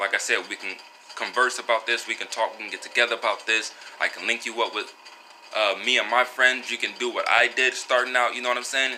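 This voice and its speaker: Noticeable background noise sits under a man's voice. He speaks very fast at a medium pitch in a flat monotone. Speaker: vlogger and wellness product seller. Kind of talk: casual monologue vlog. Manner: halting, many fillers.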